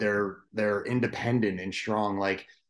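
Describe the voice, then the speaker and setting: Here a man speaks at a very slow pace. His pitch is fairly low and his intonation fairly even. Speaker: podcast host. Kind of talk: casual podcast interview.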